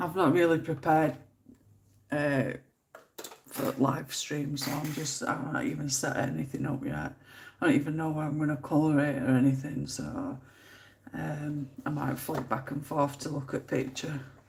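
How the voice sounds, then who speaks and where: A woman speaks at a moderate pace with long, frequent pauses, in a very deep, low pitch. Her intonation is monotone and flat, and room echo is audible. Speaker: colouring live streamer. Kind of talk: casual chat.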